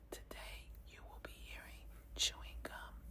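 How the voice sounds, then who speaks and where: A woman whispers in a soft-spoken way. Noticeable background noise sits behind her. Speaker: ASMR creator. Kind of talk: ASMR whispered storytelling with gum chewing. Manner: whispered, soft-spoken.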